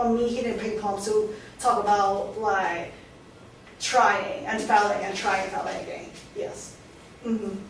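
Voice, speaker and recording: A woman with a Hong Kong accent speaks at a fairly high pitch, with noticeable background noise and audible room echo. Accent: Hong Kong accent, still present. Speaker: artist. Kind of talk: lecture Q&A. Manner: halting, many restarts.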